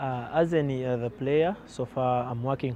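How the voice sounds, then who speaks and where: Over noticeable background noise, a man speaks in a dark, mellow tone with fairly even intonation, the sound dry with no echo. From Uganda. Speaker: professional footballer. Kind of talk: farewell interview. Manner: halting, with frequent repetitions and fillers. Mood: grateful, calm farewell. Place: open country.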